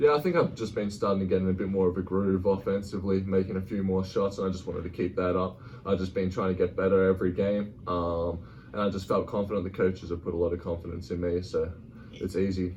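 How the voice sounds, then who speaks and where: In an Australian accent, a man talks at a very fast pace with a very deep, low pitch. His voice is somewhat breathy, with fairly even intonation. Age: 20s. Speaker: college basketball player. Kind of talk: interview.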